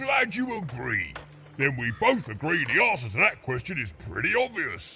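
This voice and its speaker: A man's put-on character voice, fairly high in pitch, at a moderate pace. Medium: video game. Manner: chummy, salesy, laughing often.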